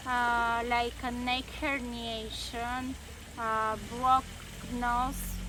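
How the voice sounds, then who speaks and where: Against audible room echo, a woman with a non-native accent speaks very slowly at a high pitch with monotone, flat intonation. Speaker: workshop participant. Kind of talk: testimony. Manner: halting, many fillers.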